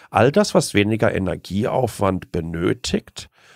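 A man speaks at a very slow pace with lively intonation and a fairly low pitch. The recording is very clean with a silent background and a dry, close sound with no echo. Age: 40s. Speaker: tech blogger and communicator. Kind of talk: interview.

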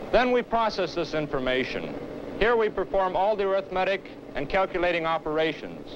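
Noticeable background noise sits behind a man's high-pitched voice. He talks at a fairly quick pace with ordinary pitch variation. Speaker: lab engineer demonstrating product. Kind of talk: scripted product demonstration. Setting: lab demonstration for film. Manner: formal, earnest, measured; clear, explanatory. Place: studio. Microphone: old recording.

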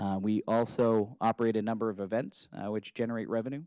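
A man's fairly even intonation comes through in a dry sound with no echo over a quiet background. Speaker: presenter. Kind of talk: formal report presentation. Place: hall. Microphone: podium.

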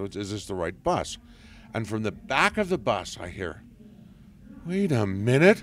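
A man speaks at a fairly low pitch and fairly slow pace, with very wide pitch swings and long, frequent pauses. The sound is dry with no echo, over light background noise. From southern England. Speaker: voice actor; voice actor guest. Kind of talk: casual interview chat. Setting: convention interview. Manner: joking, animated. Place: home room. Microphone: handheld.

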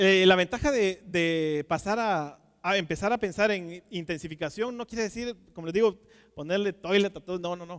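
The speaker's loudness swings widely, with ordinary pitch variation. The pace is moderate over a quiet background. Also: man, high pitch for a man. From Guatemala. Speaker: aquaculture technical manager. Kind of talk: conference talk. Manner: halting, many fillers and repetitions. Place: stage. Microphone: headset.

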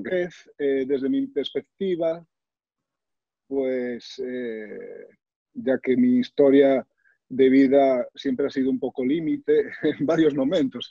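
Against a quiet background, a man talks at a very slow pace in a dry sound with no echo. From Galicia, Spain (Sarria, Lugo). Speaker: author, cancer survivor and motivational speaker. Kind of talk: personal testimony. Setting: video call. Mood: reflective, earnest. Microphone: video call.

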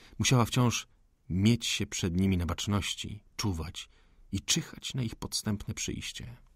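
Somewhat breathy and animated in tone, a man talks at a fairly slow pace with lively intonation. The recording is very clean, with a silent background. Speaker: audiobook narrator. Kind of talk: dramatic audiobook narration of a 19th-century novel, tense and hushed. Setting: studio.

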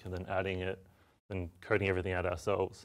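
Against a quiet background, a man with an Australian accent talks in a very deep, low voice. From Australia, Melbourne. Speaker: software developer and tool maker. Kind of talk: software demo tutorial. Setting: studio. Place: studio.

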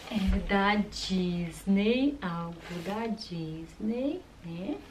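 There is noticeable background noise behind this recording. A woman speaks at a medium pitch with ordinary pitch variation. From Brazil. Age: 30s. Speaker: YouTuber. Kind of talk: casual vlog unboxing. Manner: animated. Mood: cheerful, playful. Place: home room.

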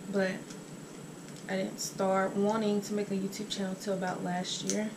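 Against noticeable background noise, a woman speaks at a moderate pace in a flat, monotone way. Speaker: YouTuber. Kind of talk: casual mukbang vlog. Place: home room. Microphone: camera far.

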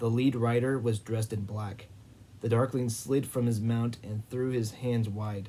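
With fairly even intonation, the speaker reads in an unforced reading voice.

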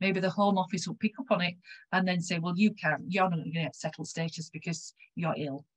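In a West Yorkshire accent, a woman talks at a very fast pace. Her voice is somewhat breathy against a quiet background. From West Yorkshire, England; England. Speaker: health research involvement consultant; presenter. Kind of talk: conference presentation. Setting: video call. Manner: halting. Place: home room. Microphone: webcam.

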